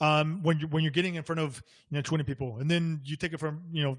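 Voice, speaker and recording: A man with a fairly high pitch talks at a very fast pace in a very clean recording with a silent background. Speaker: multifamily real estate investor. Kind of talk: podcast interview. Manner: fast when excited; hesitant, many fillers.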